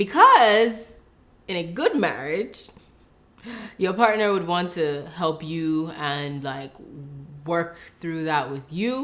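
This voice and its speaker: Over noticeable background noise, a woman with a fairly low pitch speaks at a very slow pace with long, frequent pauses. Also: lively intonation. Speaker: relationship vlogger, wife. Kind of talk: casual chat.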